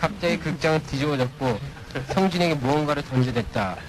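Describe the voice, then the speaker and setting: Amid noticeable background noise, a man with a fairly high pitch speaks at a moderate pace with ordinary pitch variation. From partly raised in the US. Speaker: radio guest. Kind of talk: reading aloud a listener story. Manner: halting, repeats words.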